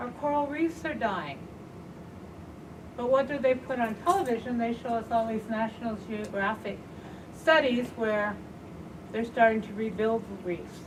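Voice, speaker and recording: A woman with a fairly high pitch and lively intonation speaks at a moderate pace with long, frequent pauses, over noticeable background noise and audible room echo. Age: 60s. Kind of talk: panel talk.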